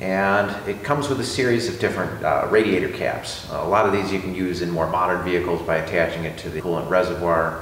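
Speech comes at a fairly quick pace with hardly any pauses. Audible room echo and light background noise are present. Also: man, very deep, low pitch for a man, ordinary pitch variation. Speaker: car hobbyist host. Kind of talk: tutorial. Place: garage. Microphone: camera far.

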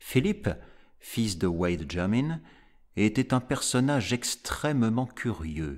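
In a very clean recording with a silent background, a man speaks at a very slow pace in a solemn, dramatic tone. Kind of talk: audiobook reading of a gothic horror story. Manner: slow, measured, solemn narration; dramatic, grave, deliberate pacing.

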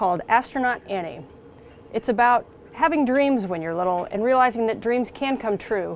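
This is plain reading aloud. The voice simply reads the words.

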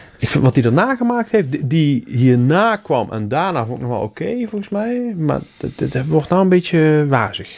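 A man with a fairly high voice speaks with hardly any pauses, his pitch swinging very widely. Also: moderate pace. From Helmond, North Brabant, Netherlands; North Brabant. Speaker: podcast co-host. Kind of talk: casual chat. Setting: studio. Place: home room. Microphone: studio mic.

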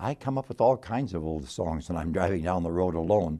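A man's dark, mellow voice with lively intonation, at a moderate pace over a quiet background. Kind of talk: devotional talk. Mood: warm, gently humorous. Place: office. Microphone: lapel.

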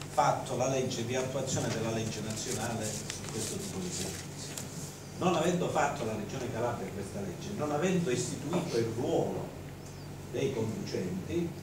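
Noticeable background noise and audible room echo around a man talking at a moderate speed. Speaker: council member explaining a rule change. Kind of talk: council meeting statement. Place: hall.

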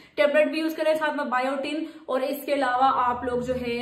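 In a room with audible echo, a woman talks with fairly even intonation. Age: 30s. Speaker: beauty vlogger. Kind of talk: tutorial. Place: home room. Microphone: phone near.

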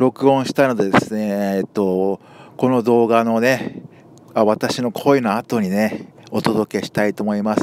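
A man talks in an ordinary speaking voice, fairly low in pitch with fairly even intonation. The sound is dry and close with no echo. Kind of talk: casual talk to camera. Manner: casual, chatty.

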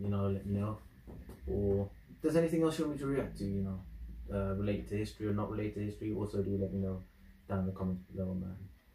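A man with a British accent speaks at a very fast pace yet with long, frequent pauses, his fairly low, dark, mellow voice somewhat breathy, with audible room echo and light background noise. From UK. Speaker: YouTube reactor. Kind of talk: video reaction commentary. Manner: casual, animated. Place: home room. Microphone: camera far.

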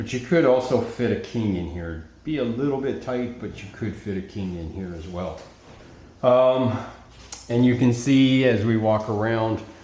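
A man at a moderate pace with ordinary pitch variation, big swings in loudness and audible room echo. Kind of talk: property tour narration. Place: home room. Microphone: phone near.

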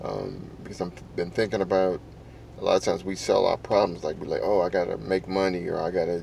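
A man with a very deep, low pitch talks at a fairly quick pace, the sound dry with no echo and light background noise behind him. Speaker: vlogger. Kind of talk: casual vlog chat. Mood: reflective, quiet early morning. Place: car. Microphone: phone near.

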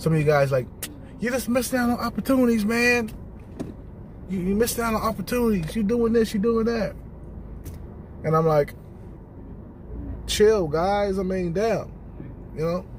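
Over light background noise, a man with a high pitch and ordinary pitch variation speaks with long, frequent pauses. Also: moderate pace, dry sound with no echo. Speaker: vlogger. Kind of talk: casual vlog chat. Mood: relaxed, blunt. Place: car. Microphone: phone near.

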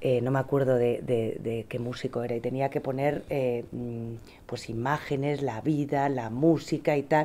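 Dark and mellow in tone, a woman's voice sits at a very deep, low pitch. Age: 40s. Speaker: parent; trend analyst. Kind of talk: panel discussion. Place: meeting room.

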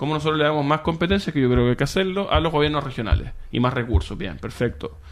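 A man's fairly high-pitched voice at a very fast pace. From Chile, Viña del Mar. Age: 30s. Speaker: foundation director, lawyer. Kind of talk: radio interview.

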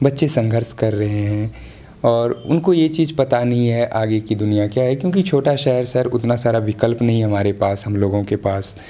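A man's dark, mellow voice at a fairly slow pace, with ordinary pitch variation. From Bihar, India. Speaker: local TV news interviewer. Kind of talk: interview. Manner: formal. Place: home room. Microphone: handheld.

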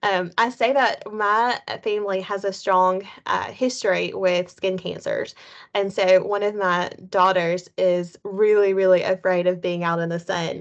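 A woman's fairly slow, fairly even delivery against a quiet background. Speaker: health coach presenter. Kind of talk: webinar presentation. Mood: warm, light laughter. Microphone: video call.

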